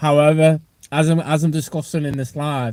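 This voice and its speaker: A man in a northwest English accent, fairly high-pitched with a dark, mellow tone, at a fairly quick pace. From northwest England. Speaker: strength and conditioning coach. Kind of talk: livestream chat. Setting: outdoors outside a gym. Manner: casual, repetitive.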